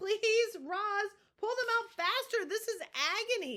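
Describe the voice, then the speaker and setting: A woman puts on a squeaky character voice at an extremely high pitch, raised and projected, speaking at a fairly slow pace. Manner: pleading, pained.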